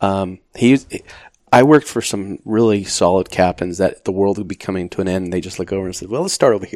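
A man with an American accent talks in an ordinary speaking voice, fairly low in pitch with ordinary variation. His pace is fairly quick, with big swings in loudness. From Arizona, Phoenix area. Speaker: retired firefighter. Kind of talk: casual interview.

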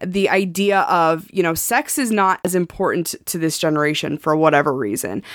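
A woman with an ordinary speaking voice talks at a moderate pace with hardly any pauses, her fairly low pitch carrying lively intonation. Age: 30s. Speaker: sex coach, podcast co-host. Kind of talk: casual chat.

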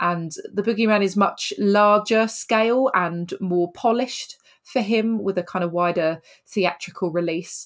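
In a British accent, a woman talks at a medium pitch with ordinary pitch variation. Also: fairly slow pace, very even loudness. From Britain. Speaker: film podcast host. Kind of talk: casual chat.

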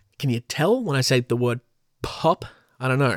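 A man speaks at a fairly quick pace with an Australian accent and a medium pitch. The recording is very clean with a silent background and a dry, close sound with no echo. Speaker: podcast host. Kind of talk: casual solo podcast monologue. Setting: home recording with pop filter mic. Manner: laughs often.

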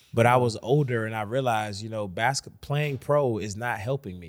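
A man with an ordinary speaking voice talks at medium pitch with an American accent. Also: very clean recording, silent background. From Washington, D.C. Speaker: basketball shooting coach. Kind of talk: casual interview.

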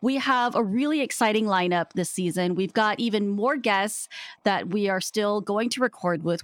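Dry, close sound with no echo, an unremarkable speaking voice, lively intonation and a moderate pace. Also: woman. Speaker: podcast co-host. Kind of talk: casual chat.

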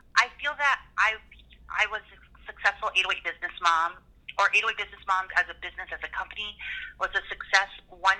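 A woman with a Hawaiian accent talks at a fairly quick pace in a bright, sharp tone at a medium pitch. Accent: Hawaiian American. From Hawaii, Waipahu. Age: 30s. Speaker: business owner and podcaster. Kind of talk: casual interview.

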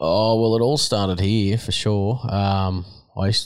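A man in a rural Australian accent, fairly low in pitch with fairly even intonation, on a very clean recording with a silent background. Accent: broad rural Australian. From Australia, rural New South Wales. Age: 30s. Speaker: horse trainer and rider. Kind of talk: interview. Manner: casual, halting with fillers.

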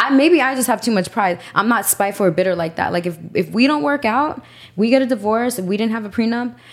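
A very fast-talking woman with a fairly high pitch and lively intonation, over noticeable background noise. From New York, Puerto Rican. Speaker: podcast guest. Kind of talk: casual chat. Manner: animated.

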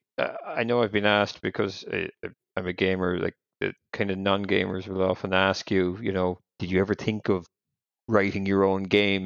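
This man speaks in an Irish accent at a moderate pace, his fairly low voice monotone and flat. The sound is dry and close with no echo, over a quiet background. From Ireland. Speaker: podcast co-host. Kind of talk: casual interview. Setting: evening recording.

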